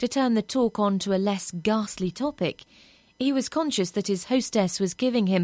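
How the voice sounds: Pitch shifting in an ordinary way within a natural reading voice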